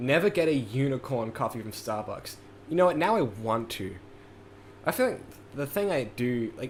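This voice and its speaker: A man speaks with a New Zealand accent at a moderate pace. His pitch is medium and his intonation lively. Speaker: music producer streamer. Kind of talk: casual livestream chat. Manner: rambling, many fillers.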